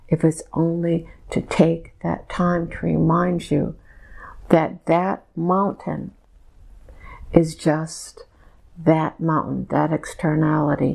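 A woman at a very slow pace with long, frequent pauses against a quiet background. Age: 60s. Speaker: hypnosis subject channeling messages. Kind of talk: trance channeling session. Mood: trance-like, slow, emotional. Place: home room. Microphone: lapel.

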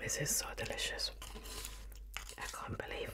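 A woman speaking at a fairly slow pace amid loud background noise. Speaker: ASMR eating host. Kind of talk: ASMR eating video. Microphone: studio mic.

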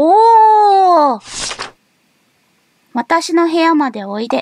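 An extremely high-pitched woman's voice in a Tosa accent, very slow, with very wide pitch swings, big swings in loudness, a dry sound with no echo, and light background noise. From Kochi, Japan. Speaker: VTuber. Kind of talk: horror game let's play. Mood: cheerful, playful, apologetic.

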